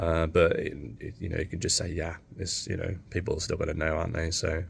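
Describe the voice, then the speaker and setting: A man's very deep, low voice in an English accent, monotone and flat. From England. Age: 30s. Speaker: vlogger. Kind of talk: casual chat. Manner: halting.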